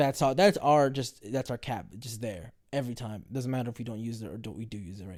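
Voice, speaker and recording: A man with an American accent and vocal fry, medium-pitched for a man, with lively intonation and a very fast pace, on a very clean recording with a silent background. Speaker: podcast host. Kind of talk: casual chat. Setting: at home in recliner. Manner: relaxed.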